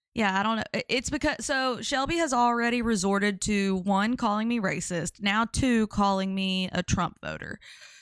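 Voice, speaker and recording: With a Louisiana accent, a woman speaks at a moderate pace with hardly any pauses, her fairly high pitch showing ordinary pitch variation, in a dry, close sound with no echo on a very clean recording with a silent background. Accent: Louisiana Southern. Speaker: live-stream commentary streamer. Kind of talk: casual live-stream chat. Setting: live stream.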